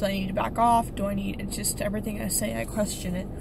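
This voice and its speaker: A woman's very fast speech, with audible room echo and noticeable background noise. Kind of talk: personal vlog monologue. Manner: hesitant, many fillers.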